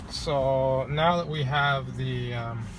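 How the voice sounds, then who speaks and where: A man speaks with an American accent. Noticeable background noise and audible room echo are present. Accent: says he sounds American but is not. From Canada. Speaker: salesperson and car vlogger. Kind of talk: casual tutorial vlog. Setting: outdoors by a lake, near his car. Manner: casual with many fillers.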